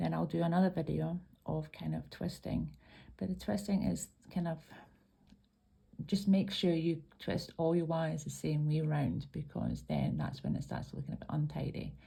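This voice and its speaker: A woman speaks at a moderate pace with a Scottish accent. The recording is very clean, with a silent background. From Scotland. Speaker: craft tutorial maker. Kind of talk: tutorial. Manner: hesitant, many ums.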